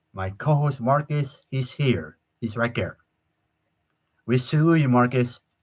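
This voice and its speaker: Somewhat breathy and at a medium pitch, a man speaks with ordinary pitch variation and long, frequent pauses. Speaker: live stream show host. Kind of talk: casual live stream chat. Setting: live YouTube stream. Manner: halting, repetitive stammering.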